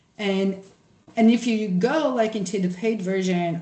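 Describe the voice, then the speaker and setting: A woman speaks with a Brazilian accent and ordinary pitch variation. Noticeable background noise and audible room echo accompany her voice. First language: Portuguese. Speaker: social scientist, workshop presenter. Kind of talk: workshop presentation with screen share. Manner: casual, many fillers and false starts.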